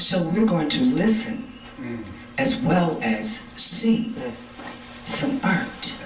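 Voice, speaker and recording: Amid noticeable background noise, a woman with a fairly high pitch and lively intonation speaks very slowly, with long, frequent pauses. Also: very even loudness. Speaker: event host. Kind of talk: live event hosting.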